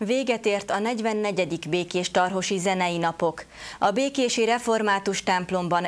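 A woman's medium-pitched voice with ordinary pitch variation.

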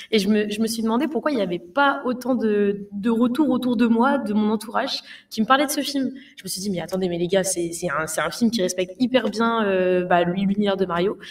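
A woman speaks fairly quickly at a fairly high pitch. Her pitch variation is ordinary. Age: 20s. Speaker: streamer. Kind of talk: casual film discussion. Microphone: studio mic.

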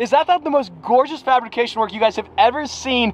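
Noticeable background noise sits behind a man's extremely high pitch. His tone is animated. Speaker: car vlogger. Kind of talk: casual vlog. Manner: animated, excitable.

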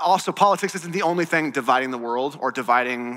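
The tone is bright and sharp, and the pace is fairly quick. The background is quiet. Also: man. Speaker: pastor. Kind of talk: sermon. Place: church. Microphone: headset.

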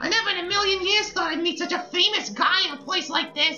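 Over clear background noise, a female-sounding voice does a put-on character at an extremely high pitch and a fairly quick pace. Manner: starstruck, excited.

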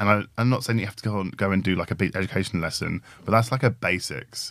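With a British accent, a man speaks with a fairly low pitch and ordinary pitch variation on a very clean recording with a silent background. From Britain. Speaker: podcast co-host, tech design and research leader. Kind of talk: casual conversation.

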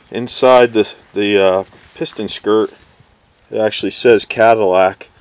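Over noticeable background noise, a man speaks at a moderate pace with fairly even intonation and a dry sound with no echo. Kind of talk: tutorial. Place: street. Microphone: phone near.

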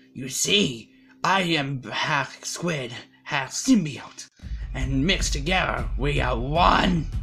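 A put-on character voice sits at a low-to-middle pitch and moves at a very slow pace. Faint music plays in the background. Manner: aggressive, shouty.

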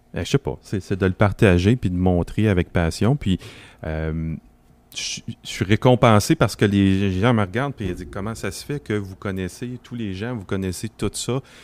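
In a very clean recording with a silent background, a man with an ordinary speaking voice and a fairly low pitch speaks at a fairly slow pace with ordinary pitch variation. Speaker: regional director of an EV association. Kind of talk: casual group discussion. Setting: makeshift studio at an event.

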